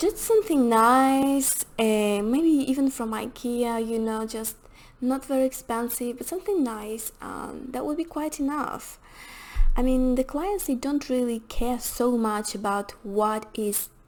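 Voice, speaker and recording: A woman's high-pitched voice with a non-native accent, ordinary pitch variation and a fairly slow pace. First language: not English. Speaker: hospitality and rental consultant. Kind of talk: tutorial. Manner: halting, many fillers.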